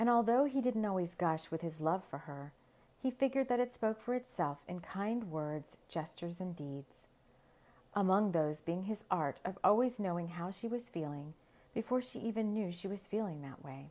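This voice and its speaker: Her pitch medium and her intonation lively, a woman with an unremarkable speaking voice keeps a moderate pace. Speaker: podcast host and storyteller. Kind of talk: story narration read aloud.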